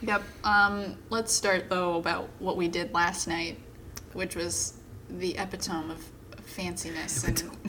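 A playful tone comes through at a fairly slow pace, with fairly even intonation over noticeable background noise. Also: woman, fairly low pitch for a woman. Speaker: podcast co-host. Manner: joking, playful.

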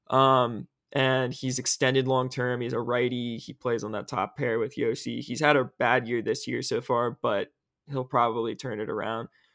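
In a very clean recording with a silent background and a dry, close sound with no echo, a man speaks at a moderate pace in a monotone, flat way at a medium pitch. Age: young. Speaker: hockey podcast host, sports writer. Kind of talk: casual sports chat.

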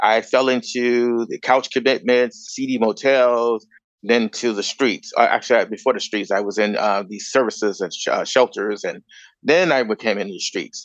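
A man with an American accent in a plain, everyday voice, medium in pitch with ordinary variation, at a moderate pace, dry and close with no echo over a quiet background. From US Midwest, Chicago. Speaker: educator and homelessness advocate. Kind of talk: panel discussion.

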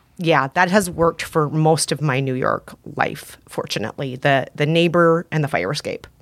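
A woman with a very deep, low pitch talks with hardly any pauses. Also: ordinary pitch variation, moderate pace. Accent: American. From Minnesota. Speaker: podcaster and author. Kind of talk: casual chat.

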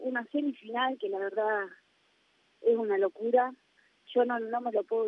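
A normal speaking voice from a woman, fairly high in pitch, at a fairly quick pace. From Argentina. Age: 20s. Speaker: professional footballer. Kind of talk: interview.

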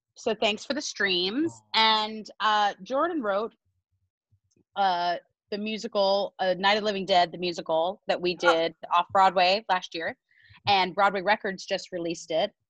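Against a quiet background, a woman with a medium-pitched voice speaks fairly slowly with ordinary pitch variation. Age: 30s. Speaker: musical theatre actress. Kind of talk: casual chat. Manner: animated.

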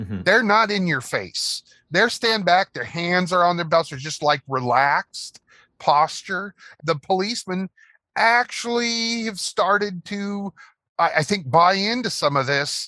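A man with a high pitch and a bright, sharp tone uses a raised, projected voice at a fairly slow pace, his intonation lively and the sound dry and close with no echo. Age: 50s. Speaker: bus driver. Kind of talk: casual interview.

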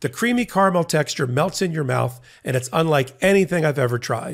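A man's unremarkable speaking voice, fairly high and fairly quick, with lively intonation on a very clean recording with a silent background. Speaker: legal podcast co-host and trial attorney. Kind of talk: casual legal news commentary.

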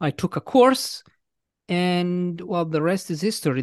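Very slowly and with ordinary pitch variation, a man speaks in an Italian accent, the sound dry and close with no echo and the background quiet. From Italy. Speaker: English teacher and author. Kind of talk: casual interview chat. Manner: friendly, hesitant with fillers.

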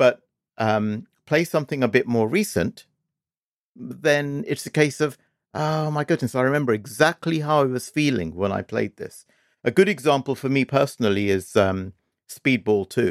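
A man with a British accent speaks at a medium pitch and moderate pace with lively intonation, the sound dry and close with no echo. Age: 50s. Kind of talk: casual chat.

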